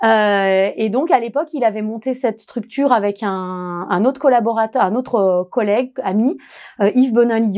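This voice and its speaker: A woman's fairly high-pitched voice with a dark, mellow tone, ordinary pitch variation and a fairly slow pace, on a very clean recording with a silent background. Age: 40s. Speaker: HR manager. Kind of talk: interview testimony.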